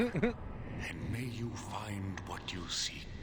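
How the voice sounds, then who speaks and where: Over loud background noise, a man with a medium pitch puts on a character voice. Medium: game stream. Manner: measured, probing, solemn.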